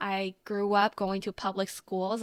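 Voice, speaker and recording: A woman with a Chinese accent at medium pitch and a fairly slow pace. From Taiwan. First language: Mandarin Chinese. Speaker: content creator. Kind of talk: casual Q&A vlog.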